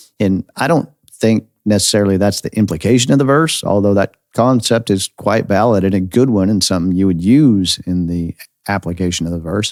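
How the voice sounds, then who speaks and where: A man with an American accent speaks at a fairly quick pace in an unremarkable speaking voice, pitched fairly low. His pitch varies in an ordinary way, and the sound is dry and close with no echo. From United States. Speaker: pastor and podcast host. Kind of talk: podcast sermon.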